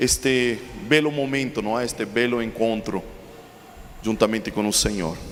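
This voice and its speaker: A Chilean accent at a moderate pace, with ordinary pitch variation, noticeable background noise and audible room echo. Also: man. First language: Spanish (speaking Portuguese). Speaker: preacher. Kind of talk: sermon.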